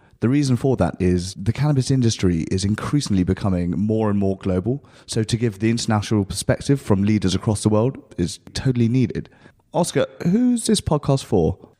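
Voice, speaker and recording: On a very clean recording with a silent background, a man with a fairly low pitch and a dark, mellow tone talks at a fairly quick pace, his loudness very even and his pitch varying in an ordinary way. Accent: British. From UK. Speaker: podcast host. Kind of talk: interview podcast.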